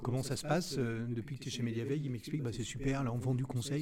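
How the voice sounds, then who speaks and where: A man at a medium pitch, very fast and fairly even in intonation, with audible room echo and noticeable background noise. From Brittany, France (Rennes). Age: 50s. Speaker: business owner. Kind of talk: interview.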